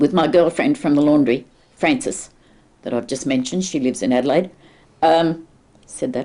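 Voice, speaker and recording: A woman with a very deep, low voice and a dark, mellow tone speaks at a moderate pace, her pitch swinging very widely, with long, frequent pauses. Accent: strong Australian. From Sydney, Australia. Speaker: oral history interviewee. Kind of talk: oral history interview.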